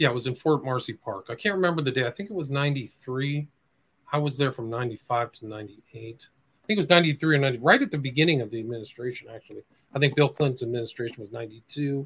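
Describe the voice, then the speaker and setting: A man with an American accent talks at a fairly quick pace and medium pitch. His loudness swings a lot, while his pitch varies in an ordinary way. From US Midwest, Nebraska. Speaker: investigative journalist and author. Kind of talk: interview.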